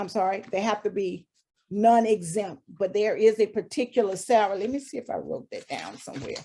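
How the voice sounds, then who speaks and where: Fairly quick speech from a woman at medium pitch, dark and mellow in tone, with ordinary pitch variation and big swings in loudness. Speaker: HR consultant presenter. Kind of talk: webinar presentation.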